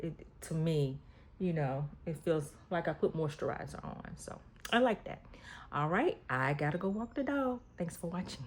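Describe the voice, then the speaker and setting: A somewhat breathy woman at fairly low pitch, with lively intonation and a moderate pace. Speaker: lifestyle vlogger. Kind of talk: casual talk to camera.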